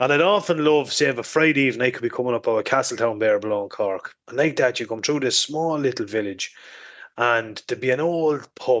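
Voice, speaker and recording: A man's medium-pitched voice in an Irish accent, fairly quick, with ordinary pitch variation. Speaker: motorcycle podcast host. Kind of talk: casual chat.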